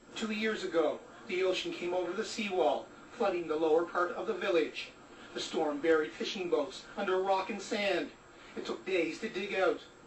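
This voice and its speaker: Noticeable background noise sits behind a man who speaks at a moderate pace with a high pitch. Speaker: TV news reporter. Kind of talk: TV news report.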